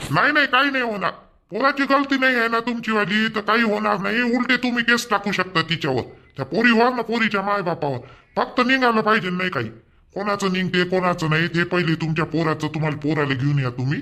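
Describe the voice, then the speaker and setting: A man puts on a cartoonish character voice, high-pitched, raised and projected. His pitch swings very widely at a moderate pace. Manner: authoritative, brisk.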